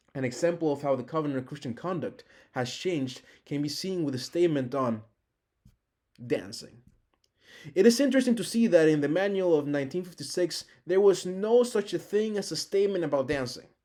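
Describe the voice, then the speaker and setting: A high-pitched man with a Spanish accent and a dark, mellow tone speaks at a fairly quick pace, with long, frequent pauses. The recording is very clean, with a silent background. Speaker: teaching assistant. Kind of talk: recorded lecture.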